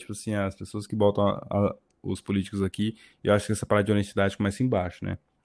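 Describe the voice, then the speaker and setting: A man with a dark, mellow tone speaks at a fairly quick pace in a very clean recording with a silent background. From Brasília. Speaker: podcast co-host, civil engineering graduate. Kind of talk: casual chat.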